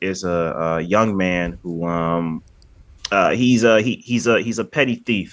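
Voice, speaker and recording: A man with lively intonation and a fairly slow pace, an ordinary speaking voice against a quiet background. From Michigan. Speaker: podcast host, film reviewer. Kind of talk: casual chat.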